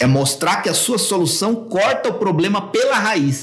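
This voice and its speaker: Speaking at a fairly slow pace, a man lets his pitch swing very widely. His voice rises and falls a great deal. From São Paulo, Brazil. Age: 40s. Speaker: copywriting expert. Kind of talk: podcast interview.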